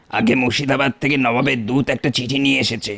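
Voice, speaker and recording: A man's cartoonish character voice, raspy and medium in pitch, at a moderate pace with fairly even intonation. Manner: formal, respectful.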